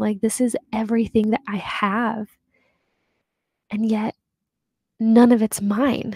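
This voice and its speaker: A woman with a dark, mellow, somewhat breathy voice speaks fairly slowly in a monotone, flat way, the sound dry with no echo over a quiet background. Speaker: podcast host. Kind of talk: reflective podcast monologue. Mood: warm, reflective, light laughs. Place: home room. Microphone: studio mic.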